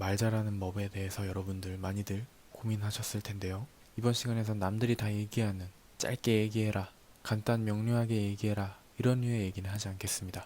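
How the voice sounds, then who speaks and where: A calm voice with a dark, mellow tone. It moves at a fairly quick pace in a flat, monotone delivery. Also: man, fairly low pitch for a man. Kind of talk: ASMR talk reading and explaining notes from a book. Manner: calm, soft-spoken.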